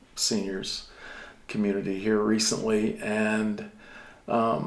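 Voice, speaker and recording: A man's voice with audible room echo. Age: 60s. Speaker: senior center volunteer. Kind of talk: interview.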